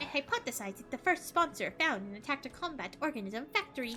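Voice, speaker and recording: A woman's put-on character voice, high-pitched, with very wide pitch swings and a very fast pace over clear background noise. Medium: game stream. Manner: clinical, matter-of-fact.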